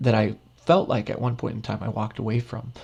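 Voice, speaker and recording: Speaking at a very fast pace, a man has a medium pitch. His voice is somewhat breathy. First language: Spanish. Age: 30s. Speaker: professor. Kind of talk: lecture. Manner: halting, many fillers and repetitions.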